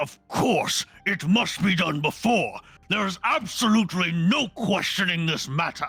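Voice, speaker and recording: Over background music, a man does a raspy, put-on character voice at a high pitch and moderate pace. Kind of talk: formal. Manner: stiff, formal.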